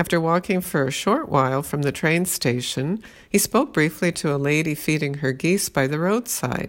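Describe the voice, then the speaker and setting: A woman with a very deep, low pitch and lively intonation, at a moderate pace with hardly any pauses, on a very clean recording with a silent background. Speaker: podcast host reading her own blog diary. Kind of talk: reading aloud a diary entry, serious historical narration. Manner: steady, measured, storytelling pace.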